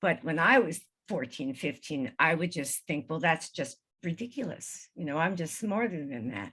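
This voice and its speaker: A woman's fairly low voice, bright and sharp in tone, with very wide pitch swings. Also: moderate pace. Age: 70s. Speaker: spiritual healer and EVP researcher. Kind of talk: interview with slideshow.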